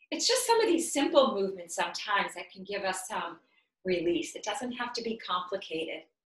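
A woman's voice with very wide pitch swings and big swings in loudness, in a quiet background with audible room echo. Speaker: yoga instructor and health coach. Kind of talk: guided yoga session, calm instructional cueing with breath pauses. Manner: soft, slow, soothing, unhurried, gently coaxing; casual, conversational, occasionally halting with fillers. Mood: calm, soothing. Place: home room. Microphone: camera far.

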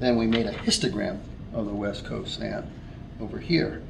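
At a moderate pace, a man speaks over noticeable background noise. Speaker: teacher or instructor. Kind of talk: tutorial. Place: classroom.

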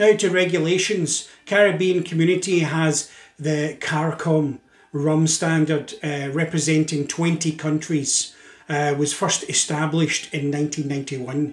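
In a Scottish accent, a man speaks at a very slow pace amid audible room echo. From Scotland. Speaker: drinks industry educator and video host. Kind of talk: scripted educational narration. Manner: measured with frequent filler uhs. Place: home room.

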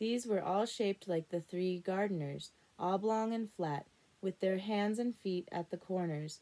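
Ordinary rise and fall of pitch in a natural reading voice

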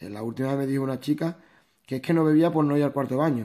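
The voice belongs to a man and has a dark, mellow tone. Its pitch shifts in an ordinary way. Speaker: naturopath and nutrition product distributor. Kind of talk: informal presentation / training talk. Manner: halting, with repetitions.

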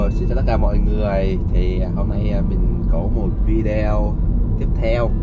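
Loud background noise surrounds a man speaking at a fairly slow pace in a dry sound with no echo. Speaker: driver vlogger. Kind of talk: casual vlog chat. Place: car. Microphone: camera far.

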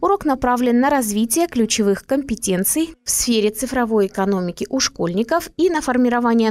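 In a normal speaking voice, a woman talks at a fairly high pitch and a moderate pace with lively intonation, very even loudness and hardly any pauses. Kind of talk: TV talk show.

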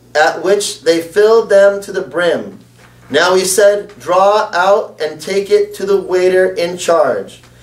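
A man's high-pitched voice at a fairly slow pace, with audible room echo. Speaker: preacher. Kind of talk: sermon.

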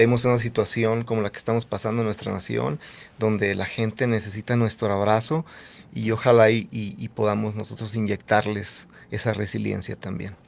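A man talks at a moderate pace. His pitch is fairly low, and his intonation stays fairly even. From northern Mexico, Nogales (Sonora border). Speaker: singer-songwriter. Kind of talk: interview testimony. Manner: halting, repetitive.

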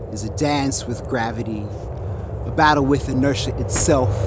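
Noticeable background noise sits behind a voice speaking at a fairly slow pace. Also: man, dry sound with no echo. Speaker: poet. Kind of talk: spoken-word poem performance about graffiti. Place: street. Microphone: phone near.

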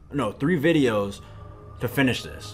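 A man is speaking. His voice is somewhat breathy. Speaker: gaming youtuber. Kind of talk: casual vlog chat. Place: home room.

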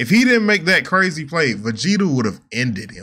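Against a quiet background, a man with a bright, sharp tone talks at a moderate pace, his pitch swinging very widely. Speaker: reaction streamer. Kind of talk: casual reaction commentary. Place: home room.

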